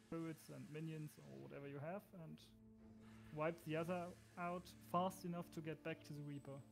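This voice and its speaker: Moderate-paced speech with a German accent, music playing in the background. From Germany. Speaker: gamer joining a stream. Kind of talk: casual gaming chat.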